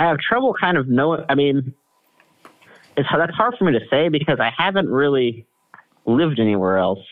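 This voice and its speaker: Speaking at a fairly quick pace with an American accent, a man uses very wide pitch swings and very even loudness, broken by long, frequent pauses. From Kansas, US Midwest. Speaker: political writer and addictions counselor. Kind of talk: casual interview.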